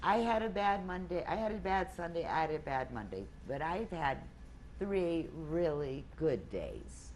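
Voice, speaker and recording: A woman speaks at a fairly slow pace with an American accent. Room echo can be heard. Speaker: weight loss group leader. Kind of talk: group talk.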